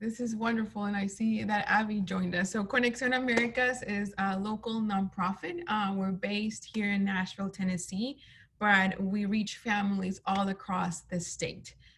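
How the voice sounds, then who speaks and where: Noticeable background noise behind speech with fairly even intonation. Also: woman, medium pitch for a woman, moderate pace. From Colombia, then Atlanta as teen. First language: Spanish. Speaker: nonprofit executive director. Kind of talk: interview. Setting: video call.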